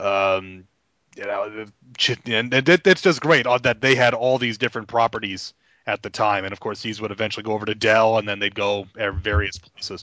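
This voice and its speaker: A man with an American accent speaks in a normal speaking voice at a fairly low pitch, a moderate pace and ordinary pitch variation. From New York. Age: 30s. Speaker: comic book podcast panelist. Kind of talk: casual chat.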